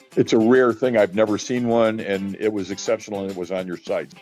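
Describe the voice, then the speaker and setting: Someone speaks at a fairly quick pace with music in the background. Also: man. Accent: American. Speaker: auctioneer and estate sale liquidator. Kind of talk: interview answer. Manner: conversational, talkative.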